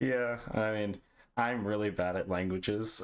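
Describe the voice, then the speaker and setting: In a very clean recording with a silent background, a man with an American accent talks in a normal speaking voice, his fairly low pitch moving in fairly even intonation. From India (Hyderabad), early childhood New Jersey. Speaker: podcast host. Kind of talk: casual interview chat.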